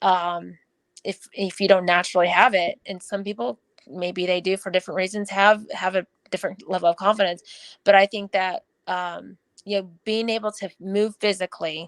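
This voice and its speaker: A woman speaks at a moderate pace in a medium pitch with fairly even intonation, an unremarkable speaking voice. The sound is dry and close with no echo, on a very clean recording with a silent background. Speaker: running coach. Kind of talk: podcast interview.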